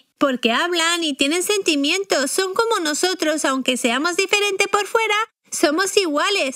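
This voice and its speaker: This is a cartoonish character voice that sounds female. The pitch is extremely high for a woman. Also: moderate pace. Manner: kind, earnest.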